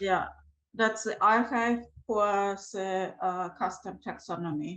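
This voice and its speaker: A woman with a non-native accent, medium pitch, a very slow pace and fairly even intonation. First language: not English. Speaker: meetup attendee asking question. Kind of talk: casual Q&A discussion.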